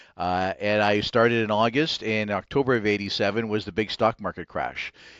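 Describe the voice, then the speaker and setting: In a dry, close sound with no echo and a quiet background, a man speaks at a fairly quick pace. His pitch is fairly low and his intonation fairly even. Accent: Maritime Canadian. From Nova Scotia, Canada. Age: 60s. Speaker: financial advisor, company CEO. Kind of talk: podcast interview.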